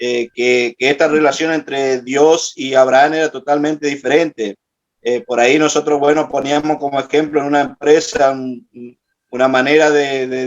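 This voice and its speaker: This man's fairly high pitch stays monotone and flat as he speaks at a moderate pace. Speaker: participant in prayer class. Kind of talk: group report in online class. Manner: halting, many fillers.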